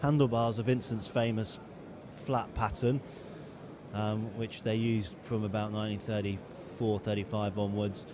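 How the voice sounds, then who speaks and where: Over noticeable background noise, a man speaks at a moderate pace with fairly even intonation and fairly low pitch. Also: dry sound with no echo. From England. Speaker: motorcycle magazine editor. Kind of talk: casual informative talk about a motorcycle at a show. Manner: conversational, hesitant with frequent fillers. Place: hall.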